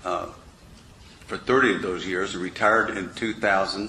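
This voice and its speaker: Over noticeable background noise, a man speaks at a moderate pace. His voice is fairly low, with fairly even intonation. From Kansas City, US Midwest. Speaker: political candidate. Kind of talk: candidate forum opening statement. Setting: public forum with audience.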